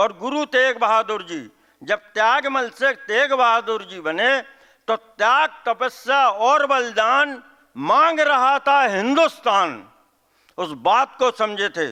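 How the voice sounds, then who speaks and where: A man's raised, projected voice rings bright and sharp, stern in tone, with lively intonation and a dry, close sound with no echo. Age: 70s. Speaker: event organizer giving welcome speech. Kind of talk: public speech. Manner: halting.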